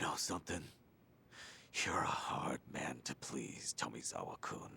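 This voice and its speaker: A man whispers in a put-on character voice at a moderate pace. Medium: video game. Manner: terse, low-key, dry.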